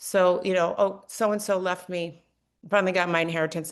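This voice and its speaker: Against a quiet background, a woman with a normal speaking voice and medium pitch talks at a fairly quick pace. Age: 60s. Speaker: realtor. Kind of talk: podcast interview.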